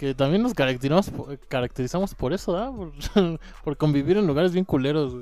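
Talking at a very fast pace, a man uses a dark, mellow tone at a fairly high pitch with lively intonation. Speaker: friend of the host. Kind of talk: casual chat.

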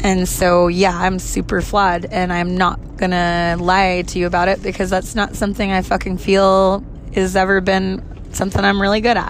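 Noticeable background noise and audible room echo surround a woman's voice. Her medium pitch stays in a monotone, flat intonation. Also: moderate pace, very even loudness. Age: 30s. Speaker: podcaster. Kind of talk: personal monologue.

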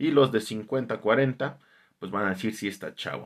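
In a very clean recording with a silent background, a man with a Mexican accent speaks with ordinary pitch variation. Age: 30s. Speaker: podcast host. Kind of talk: casual monologue.

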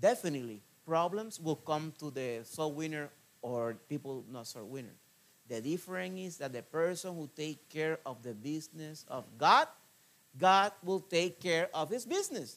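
In a Spanish accent, a man with a fairly high pitch talks at a moderate pace, his intonation lively and his loudness swinging widely. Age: 40s. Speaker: missionary preacher. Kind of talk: sermon. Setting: church. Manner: halting, with many fillers and repetitions.

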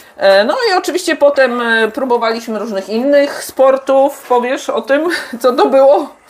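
A woman talks at a moderate pace with a high pitch and ordinary pitch variation. Noticeable background noise sits behind her. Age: 50s. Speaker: podcast host, mother of the guest. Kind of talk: casual chat while cooking. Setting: home kitchen, cooking.

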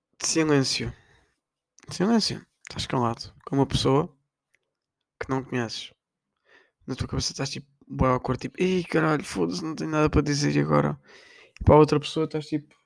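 A man at a fairly high pitch, with a European Portuguese accent, a moderate pace and long, frequent pauses. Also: ordinary pitch variation. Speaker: podcaster. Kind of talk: casual monologue.

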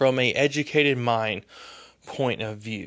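Using lively intonation, a man speaks at a medium pitch and a fairly slow pace. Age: 30s. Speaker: podcast host. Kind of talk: solo podcast monologue. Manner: halting, with fillers and stumbles; rambling.

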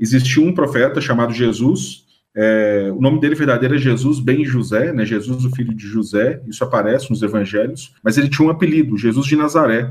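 The man's voice is somewhat breathy and sits at a medium pitch with ordinary pitch variation. He talks at a fairly quick pace with hardly any pauses. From Minas Gerais, Brazil (Ouro Preto area). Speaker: history professor and author. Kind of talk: radio interview. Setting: radio studio. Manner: halting, with repetitions.

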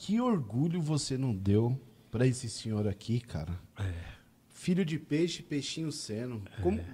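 A man speaks at medium pitch and a moderate pace, his tone dark, mellow and somewhat breathy. His pitch swings very widely, and he takes long, frequent pauses. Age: 40s. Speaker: podcast host. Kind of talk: casual chat. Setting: studio. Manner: animated.

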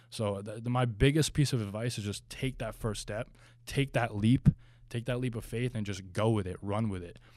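A man with an American accent talks at a moderate pace in an ordinary speaking voice. His intonation stays fairly even. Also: medium pitch for a man. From New Jersey. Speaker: pro bodybuilder and supplement brand founder. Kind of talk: interview.

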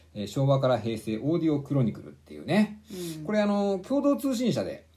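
A man speaking at a fairly quick pace. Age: 40s. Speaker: book podcast co-host. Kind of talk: casual chat. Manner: hesitant, many fillers.

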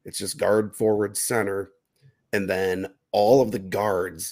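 Recorded very cleanly against a silent background, a man speaks at a moderate pace. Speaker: fantasy sports podcast host. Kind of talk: casual chat. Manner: talkative, conversational with filler words.

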